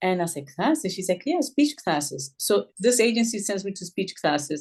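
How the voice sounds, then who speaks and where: A woman with a Puerto Rican accent talks at a moderate pace, her medium-pitched voice making very wide pitch swings. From Puerto Rico, moved to New York at eleven. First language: Spanish. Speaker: school social worker and author. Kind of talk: interview. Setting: podcast.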